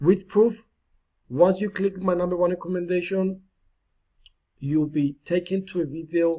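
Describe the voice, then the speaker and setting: A man with a non-native accent speaks at a fairly slow pace in a high pitch, his tone dark and mellow. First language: not English. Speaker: online marketing YouTuber. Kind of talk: tutorial. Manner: animated; slow and clear dictation at times.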